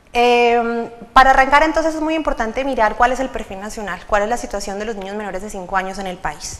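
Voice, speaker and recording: Talking at a very fast pace with hardly any pauses, a woman with a fairly high voice and ordinary pitch variation swings widely in loudness, amid noticeable background noise and audible room echo. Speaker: government official presenting policy. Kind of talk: conference presentation.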